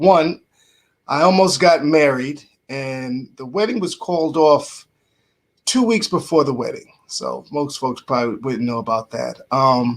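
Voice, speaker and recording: A man with a fairly high pitch talks fairly slowly, his intonation lively. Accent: New York. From New York (Bronx). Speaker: radio host and motivational speaker. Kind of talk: casual podcast interview.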